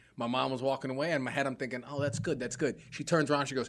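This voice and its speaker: A man's fairly high-pitched voice in an American accent at a very fast pace. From New York City. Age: 30s. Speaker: comedian and podcaster. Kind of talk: casual chat.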